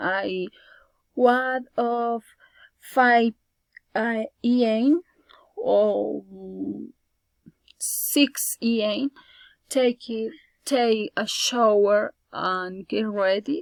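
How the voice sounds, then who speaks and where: Speaking at a very slow pace with long, frequent pauses, a woman with a Spanish accent talks in a fairly high voice. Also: ordinary pitch variation, dry, close sound with no echo. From Colombia. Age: 20s. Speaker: student. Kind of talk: class presentation, prepared speech.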